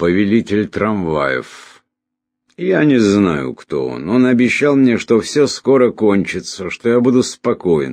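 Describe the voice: Using a put-on character voice, a man speaks slowly in a slightly mellow tone with big pitch swings. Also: fairly low pitch for a man.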